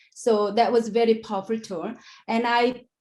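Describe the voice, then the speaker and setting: A woman with a non-native accent speaks at a moderate pace and fairly high pitch, recorded very cleanly against a silent background. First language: not English. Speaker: education researcher. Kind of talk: conference presentation. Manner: halting.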